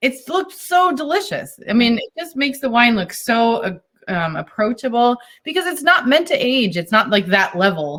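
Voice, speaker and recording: Speaking at a moderate pace with a slight Boston accent, a woman uses a high, animated voice with very wide pitch swings. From US Northeast, Boston. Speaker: wine importer. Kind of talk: casual chat. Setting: video call.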